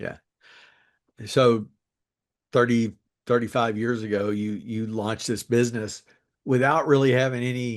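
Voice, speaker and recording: Against a quiet background, a man with a Kentucky accent talks in a flat monotone at a moderate pace, leaving long, frequent pauses. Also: medium pitch for a man. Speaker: podcast host. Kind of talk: interview.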